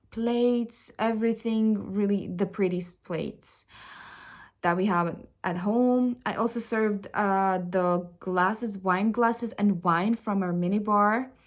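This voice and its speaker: A woman at medium pitch with a non-native accent, fairly slow pace, and fairly even intonation, in a very clean recording with a silent background. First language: not English. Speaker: vlogger. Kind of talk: personal confession vlog. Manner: halting, with many fillers and restarts.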